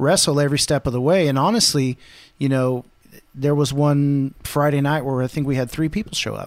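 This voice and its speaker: At a fairly quick pace, a man in a normal speaking voice talks fairly high with ordinary pitch variation, on a very clean recording with a silent background. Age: 30s. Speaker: podcast host and pastor. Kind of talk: casual chat.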